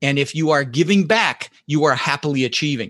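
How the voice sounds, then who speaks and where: A man in a General American accent speaks at a moderate pace and fairly high pitch, bright and sharp in tone and animated, with a dry, close sound, no echo and a quiet background. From Netherlands, raised in Denver, Colorado from age six. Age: 60s. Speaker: real estate investor and entrepreneur. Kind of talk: casual interview. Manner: animated, repeats words often.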